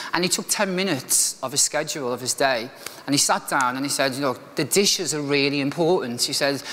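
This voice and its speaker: A man with a Liverpool accent talks fairly quickly at a fairly high pitch, with noticeable background noise. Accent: Liverpool (Scouse). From Liverpool, northern England. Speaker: motivational speaker, restaurant manager. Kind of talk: keynote speech, personal story. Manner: casual, conversational with fillers.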